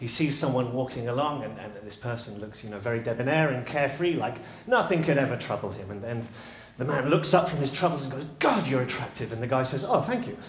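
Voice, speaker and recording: A man speaks at a very fast pace with ordinary pitch variation. Audible room echo and noticeable background noise fill the recording. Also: medium pitch for a man, big swings in loudness. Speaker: public speaker, storytelling coach. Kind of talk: live talk telling a story. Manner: animated.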